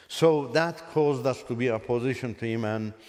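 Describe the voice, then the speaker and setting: A man with an Azerbaijani accent talks at medium pitch and a moderate pace, with ordinary pitch variation. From Iran. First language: Azerbaijani Turkic. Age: 60s. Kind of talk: testimony. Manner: halting.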